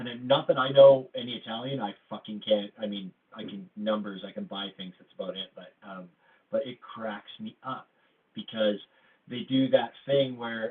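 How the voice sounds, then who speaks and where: Here a man uses an ordinary speaking voice with a Canadian accent, at a moderate pace. His pitch is medium with ordinary variation, and his loudness swings widely. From Canada. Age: 40s. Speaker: live audio room host. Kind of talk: casual chat.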